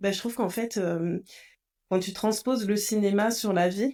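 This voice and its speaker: Over a very clean recording with a silent background, the voice has a dark, mellow tone and fairly even intonation. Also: woman. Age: 40s. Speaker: podcast host and coach. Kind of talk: podcast interview.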